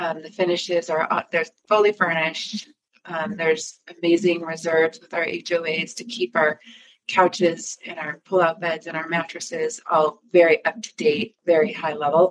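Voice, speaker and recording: An unremarkable speaking voice with an American accent moves at a moderate pace with fairly even intonation. Its loudness swings widely. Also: woman, fairly low pitch for a woman. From Michigan. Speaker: timeshare marketing executive. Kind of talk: interview.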